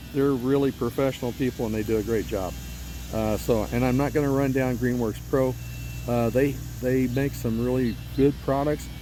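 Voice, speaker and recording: A man's moderate-paced talking is heard against noticeable background noise. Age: 70s. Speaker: homeowner reviewing equipment. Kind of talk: casual product review monologue. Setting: outdoors on a riding mower. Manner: halting, many fillers.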